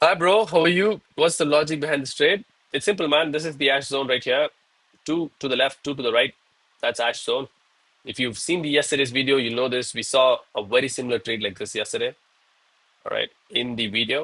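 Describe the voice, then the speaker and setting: An animated man with a Tamil Indian accent, a bright, sharp tone, fairly high pitch, ordinary pitch variation and a fairly quick pace, in a dry, close sound with no echo. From India, Chennai, Tamil Nadu. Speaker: live-streaming day trader. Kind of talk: live trading stream commentary. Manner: casual, animated.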